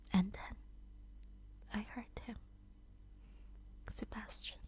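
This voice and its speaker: A woman is soft-spoken. Her voice is somewhat breathy. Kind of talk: sleep story reading.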